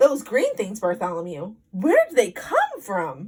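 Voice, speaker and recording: A woman uses a put-on character voice with a fairly high pitch. She speaks at a fairly slow pace with very wide pitch swings. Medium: read story.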